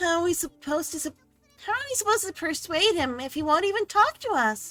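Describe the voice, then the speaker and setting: A woman talks very fast in a squeaky, put-on character voice at an extremely high pitch. Faint music plays in the background. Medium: game stream.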